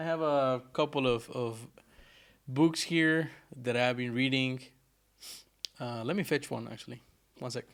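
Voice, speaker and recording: The speaker has a slight non-native accent and ordinary pitch variation, moving at a fairly slow pace. Long pauses come often, and the recording is very clean with a silent background. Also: man, medium pitch for a man. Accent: slight non-native accent, worked on. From Argentina. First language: Spanish. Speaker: programmer streamer. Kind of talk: live coding stream chat. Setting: live stream. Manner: casual, self-correcting.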